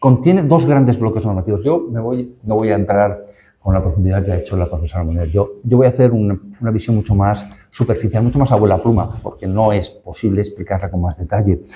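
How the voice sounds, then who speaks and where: Pitch varies in an ordinary way. The delivery is fairly quick and somewhat breathy. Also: man, fairly low pitch for a man. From northern Castellón, Valencian Community, Spain. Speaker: law professor, panel speaker. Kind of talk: academic panel talk. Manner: hesitant, with fillers and restarts.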